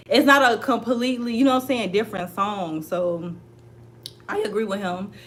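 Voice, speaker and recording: Over noticeable background noise and audible room echo, a woman with a fairly high pitch talks in an animated tone with lively intonation. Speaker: celebrity gossip commentator. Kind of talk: casual commentary vlog.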